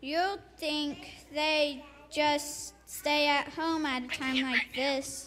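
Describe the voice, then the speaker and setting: In a put-on character voice, someone speaks at a high pitch and a very slow pace. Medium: stage play.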